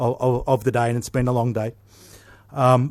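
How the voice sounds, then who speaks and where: A medium-pitched man with an Australian accent on a very clean recording with a silent background. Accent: Australian drawl. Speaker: naval officer. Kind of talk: conference speech.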